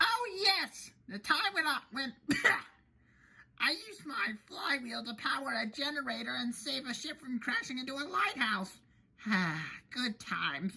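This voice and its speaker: A put-on character voice, female-sounding and high in pitch, moves at a fairly slow pace. Long, frequent pauses break it up. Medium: read story.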